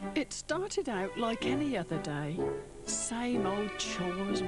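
A woman at a fairly slow pace, clear music in the background, and a dry sound with no echo. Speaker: advert voice-over narrator. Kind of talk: advert narration.

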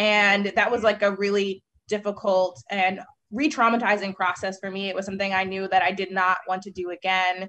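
A woman speaks at a fairly quick pace in a bright, sharp tone with monotone, flat intonation. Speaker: guest. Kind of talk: panel discussion answer. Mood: serious, personal testimony. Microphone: video call.

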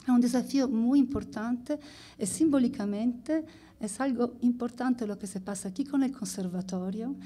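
A woman with a high pitch speaks in a dark, mellow tone. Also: ordinary pitch variation, moderate pace. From Italy. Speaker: anthropologist; speaker. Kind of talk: conference presentation. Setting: stage with audience. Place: stage. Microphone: podium.

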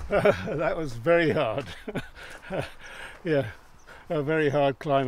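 A man speaks at a very slow pace, with long, frequent pauses. His pitch varies in an ordinary way, and the sound is dry with no echo. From England. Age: 80s+. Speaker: retired amateur cyclist. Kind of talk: interview answer. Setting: outdoors. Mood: cheerful, smiling. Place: open country.

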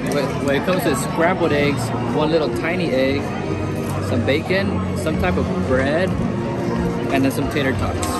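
A man at a moderate pace, with long, frequent pauses, dry sound with no echo, and loud music in the background. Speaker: food vlogger. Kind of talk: casual vlog chat. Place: cafe. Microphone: phone near.

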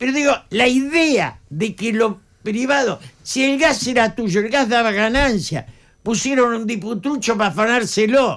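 Against a quiet background, a man with an extremely high-pitched voice speaks at a fairly slow pace with ordinary pitch variation. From Argentina, Buenos Aires area; Argentina. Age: 80s+. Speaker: political analyst. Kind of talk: radio interview. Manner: passionate, animated. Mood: indignant, critical. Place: studio. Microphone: studio mic.

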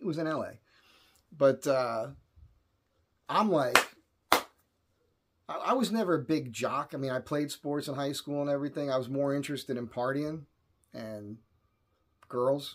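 At a fairly slow pace and medium pitch, a man speaks with ordinary pitch variation and long, frequent pauses.

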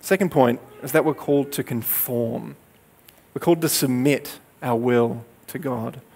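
Fairly slow male speech at medium pitch, ordinary pitch variation, with long, frequent pauses. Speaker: preacher. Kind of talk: sermon. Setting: church. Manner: earnest, conversational teaching, steady pace. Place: stage. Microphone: headset.

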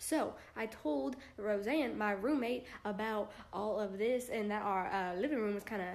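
The speaker goes at a fairly slow pace with an animated tone and lively intonation. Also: woman. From US South, Georgia. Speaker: vlogger. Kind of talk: casual vlog.

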